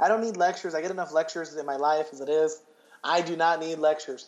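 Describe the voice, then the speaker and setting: A fairly quick pace from a man. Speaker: podcast co-host. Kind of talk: casual chat.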